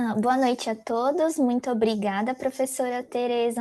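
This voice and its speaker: A woman's dark, mellow, fairly high voice at a moderate pace, with fairly even intonation and a quiet background. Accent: Brazilian. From Brazil. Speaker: pharmacy professor. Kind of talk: lecture. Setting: video conference.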